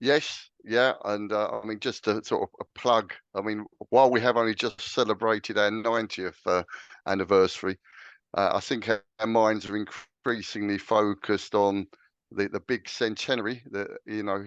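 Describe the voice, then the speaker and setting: In a dry, close sound with no echo and a quiet background, a man with an English accent talks at a moderate pace in a fairly low, monotone, flat voice. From England, London. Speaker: clan association chairman. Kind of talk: interview. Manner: hesitant, many fillers.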